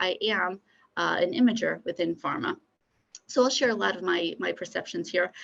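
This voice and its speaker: Speaking in a normal speaking voice with an American accent, a woman keeps a medium pitch and a fairly quick pace. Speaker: pharmaceutical imaging scientist. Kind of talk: conference keynote talk. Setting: conference.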